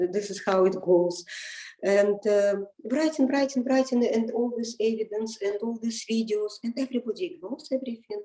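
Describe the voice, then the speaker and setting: A woman speaks in a fairly high voice with ordinary pitch variation. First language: not English. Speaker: interviewee, parent in custody dispute. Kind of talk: interview. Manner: halting, many repetitions.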